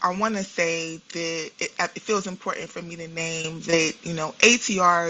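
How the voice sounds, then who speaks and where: Noticeable background noise sits behind a woman speaking with a New York accent. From New York City. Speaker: therapist and spiritual practitioner. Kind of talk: podcast interview.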